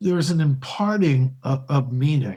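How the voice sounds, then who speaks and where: A man speaks at a fairly slow pace, somewhat breathy. His tone is dark and mellow. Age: 60s. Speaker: podcast host. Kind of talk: interview conversation.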